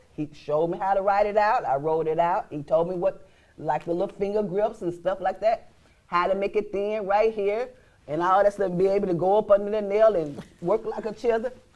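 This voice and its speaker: A woman speaks at a fairly quick pace. Her pitch sits in the medium range with ordinary variation. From Arkansas, small town near Forrest City. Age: 60s. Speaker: inventor and small business owner. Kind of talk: talk show interview.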